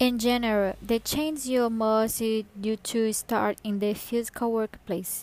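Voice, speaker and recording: Using a Brazilian Portuguese accent, a woman talks at a very slow pace with hardly any pauses, a fairly high pitch and fairly even intonation. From northern Brazil (Pará). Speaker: executive assistant. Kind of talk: scripted podcast monologue.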